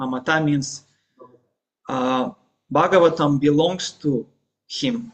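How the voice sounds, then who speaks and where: With a Russian accent, a man speaks at a fairly slow pace in a fairly high voice. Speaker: religious teacher. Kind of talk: lecture. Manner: halting.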